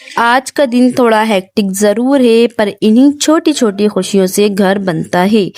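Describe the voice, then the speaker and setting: A soft-spoken woman talks at medium pitch with ordinary pitch variation on a very clean recording with a silent background. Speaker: home vlogger. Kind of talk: vlog voice-over. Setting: indoors, separate room at home. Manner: soft, quiet; slow, hesitant.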